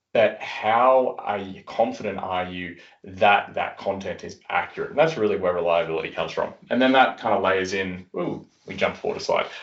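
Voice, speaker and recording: A man with an Australian accent at a moderate pace, his loudness swinging widely. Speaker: software industry executive. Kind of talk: webinar presentation. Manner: casual, many fillers.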